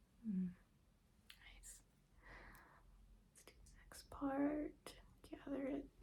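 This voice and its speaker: Very slow, soft-spoken speech broken by long, frequent pauses. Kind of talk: ASMR hair-salon roleplay, soft-spoken stylist talking to the viewer.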